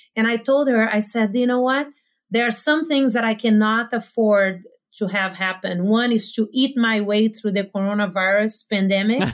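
On a very clean recording with a silent background, a woman with a Portuguese accent speaks at a moderate pace in a fairly high pitch, with ordinary pitch variation and very even loudness. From Brazil, small town. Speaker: life coach. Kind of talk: casual interview conversation.

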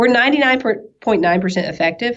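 Her pitch swings very widely. The woman has a slight Southern US accent. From US South, East Tennessee. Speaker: nurse. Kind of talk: interview. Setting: podcast. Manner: talkative.

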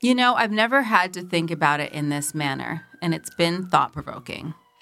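With a bright, sharp tone and a fairly low pitch, a woman speaks at a moderate pace, her pitch swinging very widely. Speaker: podcast co-host. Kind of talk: casual chat.

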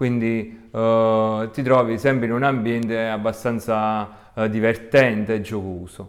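The voice moves at a very slow pace with hardly any pauses. Its intonation is monotone and flat. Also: man, medium pitch for a man. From southern Italy, province of Salerno. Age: 30s. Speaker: architecture graduate, beach resort worker. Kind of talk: personal monologue. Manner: hesitant, with many fillers.

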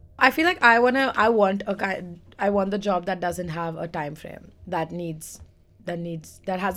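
A woman's ordinary speaking voice, medium in pitch, with ordinary pitch variation at a moderate pace. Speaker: podcast co-host. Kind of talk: casual banter podcast chat.

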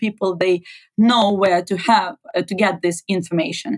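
A woman with a Ukrainian accent speaks at a medium pitch with ordinary pitch variation, recorded dry and close with no echo. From Ukraine. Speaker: journalist and activist. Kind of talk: interview.

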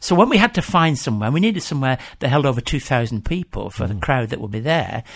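At a very fast pace with hardly any pauses, a man talks in a somewhat breathy, medium-pitched voice whose pitch swings very widely. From England. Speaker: church mission leader and minister. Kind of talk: radio interview.

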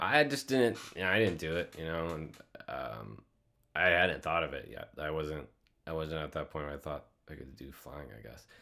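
Speaking with an American accent at a moderate pace, a man with a very deep, low voice uses lively intonation, vocal fry and big swings in loudness. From US Midwest, north central Iowa. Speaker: pilot and flight instructor. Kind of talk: casual interview.

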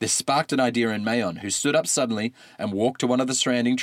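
This is read in an unforced voice.

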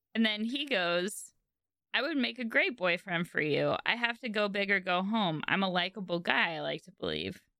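With music in the background, a woman speaks in an animated tone at a moderate pace and medium pitch, her intonation lively and her loudness swinging widely. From San Francisco Bay Area. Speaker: podcast co-host. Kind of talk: casual chat. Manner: animated, laughs often.

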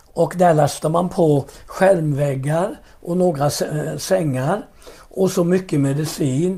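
A man's high-pitched, dark, mellow voice with fairly even intonation at a fairly slow pace. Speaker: pastor. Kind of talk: interview about faith and testimony.

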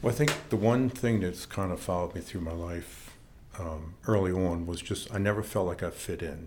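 Speaking with an American accent, a man with a very deep, low voice keeps a moderate pace and ordinary pitch variation in a room with audible echo. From Maryland, northern Baltimore County. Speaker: church leader and former rock drummer. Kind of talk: personal testimony interview.

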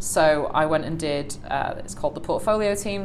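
With music in the background and audible room echo, a woman speaks in a very deep, low voice with ordinary pitch variation. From northern England, Salford. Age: 20s. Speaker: operations manager. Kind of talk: interview conversation.

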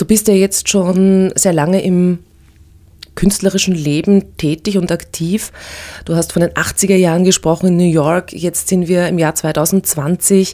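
Her voice has a dark, mellow tone and fairly low pitch, as a woman speaks at a fairly slow pace with monotone, flat intonation. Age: 40s. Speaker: podcast host. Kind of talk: interview.

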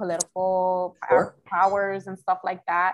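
Someone with an American accent speaks at a fairly slow pace in a monotone, flat intonation. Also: woman. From Philadelphia, US (born Washington Heights). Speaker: journalist and podcaster. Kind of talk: casual interview chat. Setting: video call, speaking from Dominican Republic.

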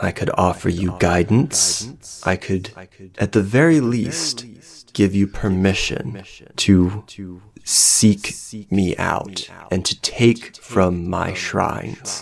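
A put-on character voice speaks slowly with few pauses and ordinary pitch variation. It has a slightly husky edge and vocal fry. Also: man, low pitch for a man.

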